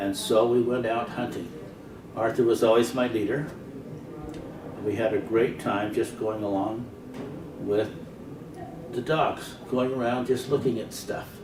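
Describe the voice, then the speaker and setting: A man with an American accent at medium pitch, fairly even intonation, a fairly slow pace and long, frequent pauses, amid noticeable background noise and audible room echo. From US West, Pocatello, Idaho. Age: 70s. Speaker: elderly man recording childhood memories. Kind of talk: casual reminiscing.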